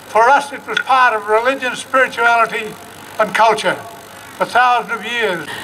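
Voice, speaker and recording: A man with an extremely high pitch uses a raised, projected voice and fairly even intonation over noticeable background noise. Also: moderate pace. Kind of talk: welcome to country speech.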